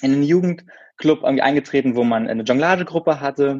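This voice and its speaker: An unremarkable speaking voice, moderate pace, ordinary pitch variation. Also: man. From Berlin, Germany. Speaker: former circus performer and videographer. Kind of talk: podcast interview.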